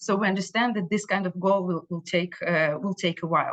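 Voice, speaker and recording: Set against a quiet background, a woman speaks with an Israeli accent at a medium pitch and with fairly even intonation. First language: Hebrew. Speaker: Israeli consulate official. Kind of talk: community briefing talk. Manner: halting, many fillers and repetitions.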